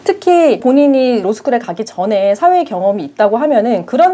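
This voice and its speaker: Noticeable background noise sits behind a woman talking at a fairly quick pace. Her pitch swings very widely. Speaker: lawyer. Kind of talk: explainer monologue. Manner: formal.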